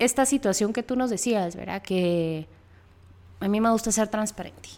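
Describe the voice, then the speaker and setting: A woman speaks with very wide pitch swings. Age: 30s. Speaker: podcast co-host, architect. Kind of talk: casual chat.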